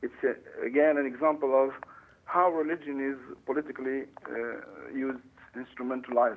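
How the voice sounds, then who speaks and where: A man talks in a monotone, flat intonation with long, frequent pauses, against light background noise. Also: fairly quick pace. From Tunisia. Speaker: English professor; academic guest commentator. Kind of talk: interview. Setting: phone call.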